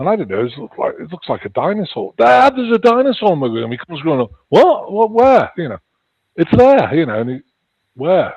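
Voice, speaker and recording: In a slight Liverpool accent, a man talks at a fairly quick pace and a high pitch. His pitch swings very widely, and his loudness shifts a lot. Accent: slight Liverpool twang. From England (Chester, near Liverpool). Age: 60s. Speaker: author and paranormal experiencer. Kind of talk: interview. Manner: halting.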